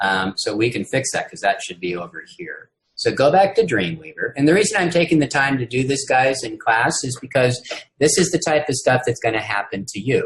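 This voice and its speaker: A man's somewhat breathy voice at a fairly high pitch, with very wide pitch swings and big swings in loudness. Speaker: university instructor. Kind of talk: lecture. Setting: video call. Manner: slow.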